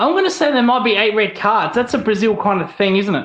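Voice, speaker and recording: The speaker has an Australian accent and lively intonation. Audible room echo is present. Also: man. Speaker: podcast co-host, coach. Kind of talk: casual chat, quiz show.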